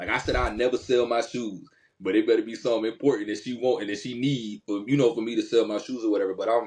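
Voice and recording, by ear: A man's fairly low voice, fast and fairly even in intonation, with a slightly mellow tone and a slightly husky edge.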